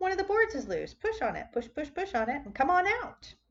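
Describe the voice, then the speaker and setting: A woman performs a put-on character voice at a high pitch. Her pitch swings very widely at a moderate pace. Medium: read story. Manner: fast, repetitive.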